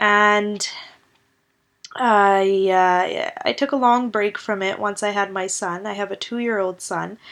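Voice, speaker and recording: Against a quiet background, someone speaks with a Canadian accent. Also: woman. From Canada, Surrey BC. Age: 20s. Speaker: podcast host and author. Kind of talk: casual solo podcast monologue. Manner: hesitant, many fillers.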